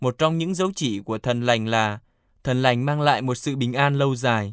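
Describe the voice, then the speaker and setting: Dry, close sound with no echo carries a man at medium pitch. He has an ordinary speaking voice with ordinary pitch variation. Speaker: radio presenter reading the Pope's catechesis translation. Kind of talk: news reading.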